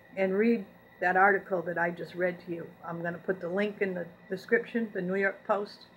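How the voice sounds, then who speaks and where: Speaking at a fairly quick pace, a woman keeps a monotone, flat intonation. There is light background noise. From New England, French Canadian descent. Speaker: YouTube channel host; vlogger. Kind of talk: monologue reading and commenting on news articles. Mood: earnest, grievance-driven. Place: home room. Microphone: webcam.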